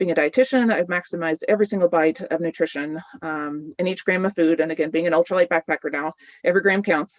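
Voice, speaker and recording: The pace here is fairly quick. It is a woman with a fairly low-pitched voice. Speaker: dietitian giving a webinar talk. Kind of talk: webinar presentation. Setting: video webinar. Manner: fast; animated.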